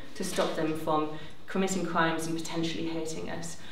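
Noticeable background noise and audible room echo around a woman's voice. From northern England, County Durham. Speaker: civil liberties campaigner. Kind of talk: panel debate. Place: hall.

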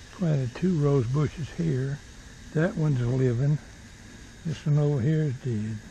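A man talks slowly at a fairly high pitch, his tone dark and mellow, with ordinary pitch variation.

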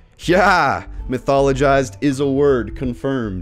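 With faint music in the background, a man talks in an American accent. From Utah. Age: young. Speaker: video creator. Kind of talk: casual talk to camera. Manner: upbeat, enthusiastic. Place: home room. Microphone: studio mic.

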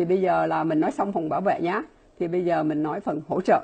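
A woman's voice, fairly low in pitch. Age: 60s. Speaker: laboratory scientist and supplement distributor. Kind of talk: product presentation. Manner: fast talker; filler-heavy, halting. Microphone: earbuds.

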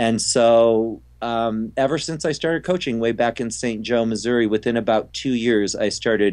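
A man talks at a moderate pace and a medium pitch. The background is quiet. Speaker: figure skating coach. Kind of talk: interview. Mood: relaxed, reminiscing. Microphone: video call.

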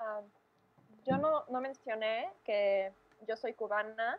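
Speaking in a Mexican accent, a woman with a fairly high pitch talks at a fairly slow pace with fairly even intonation.

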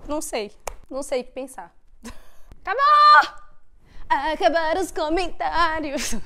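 Over noticeable background noise, a woman's raised, projected voice sits at an extremely high pitch with big swings in loudness. She goes at a very slow pace with long, frequent pauses. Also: ordinary pitch variation. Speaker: YouTuber and au pair. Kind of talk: casual chat. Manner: animated.

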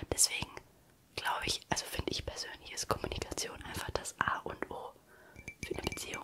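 A woman whispering at a fairly quick pace, broken by long, frequent pauses. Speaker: ASMR creator. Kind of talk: casual ASMR chat about relationships. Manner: whispered. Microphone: studio mic.

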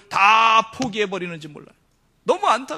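Over a quiet background, a man speaks at a moderate pace in a raised, projected voice. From South Korea, Seoul. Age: 40s. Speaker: pastor. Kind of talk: sermon. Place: church. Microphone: podium.

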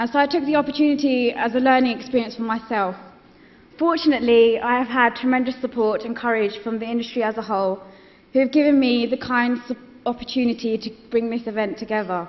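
A woman talks very fast at a high pitch. Her intonation stays fairly even. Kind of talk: awards speech. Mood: nervous but smiling. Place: hall. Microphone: podium.

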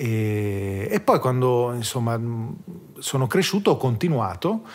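A man with a plain, everyday voice, medium pitch and lively intonation, in a very clean recording with a silent background. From South Tyrol, Italy. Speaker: drummer. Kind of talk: casual chat.

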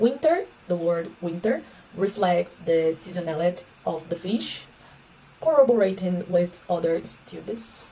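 A woman with a Portuguese accent speaks at a fairly slow pace, her pitch fairly low with ordinary variation. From Brazil. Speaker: researcher. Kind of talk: conference talk. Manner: halting. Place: home room. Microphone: phone near.

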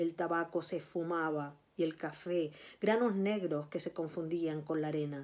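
Speaking slowly-ish with a Canarian accent, a woman keeps her fairly low pitch in a fairly even intonation at a fairly slow pace. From Canary Islands, Tenerife. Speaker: writer and librarian. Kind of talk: reading aloud of a literary narrative passage, after a casual introduction. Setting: video recording for a virtual recital. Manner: measured, narrative reading with a storytelling cadence; halting, repeating words in the intro. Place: home room. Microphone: phone near.

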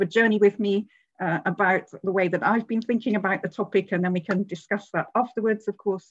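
Against a quiet background, a woman speaks at a very fast pace with fairly even intonation. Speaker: professor giving a seminar talk. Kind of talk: lecture. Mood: warm, lightly humorous. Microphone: video call.

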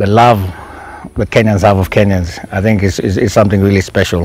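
Over faint background music, a man's fairly low voice comes through dry with no echo, his intonation fairly even. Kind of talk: interview answer. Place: garden.

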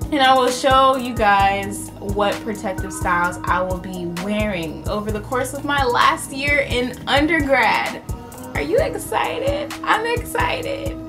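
Clear music plays in the background. A woman speaks over it at a fairly slow pace. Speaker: beauty vlogger. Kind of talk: casual vlog chat. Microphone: phone near.

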